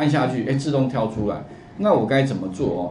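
Audible room echo surrounds a man talking over light background noise. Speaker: computer course teacher. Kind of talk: lecture. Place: classroom.

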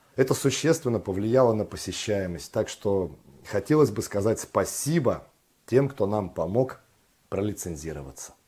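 Somewhat breathy and dark, mellow in tone, a man speaks in a fairly low pitch at a moderate pace with very wide pitch swings, captured in a very clean recording against a silent background. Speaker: actor, announcer, acting and speech teacher. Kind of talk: corporate voice-over narration.

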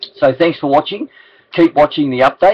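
With an Australian accent, a man talks at a fairly quick pace with ordinary pitch variation. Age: 60s. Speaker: charity campaign ambassador. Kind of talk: casual appeal to camera. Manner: hesitant, many fillers. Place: office. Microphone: webcam.

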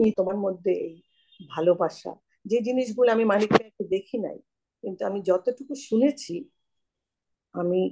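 Over loud background noise, a woman speaks in a dark, mellow tone with ordinary pitch variation. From Bangladesh. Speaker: newspaper editor. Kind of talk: casual chat. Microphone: video call.

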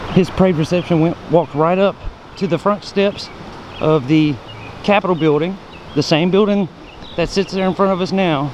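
Light background noise sits behind a man speaking at a moderate pace in a dry sound with no echo. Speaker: travel vlogger. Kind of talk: casual vlog tour commentary. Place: street. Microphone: phone near.

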